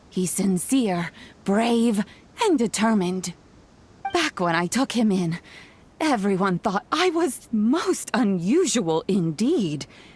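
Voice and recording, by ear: A woman puts on a character voice with big pitch swings and a slightly husky edge. She speaks slowly at a medium pitch.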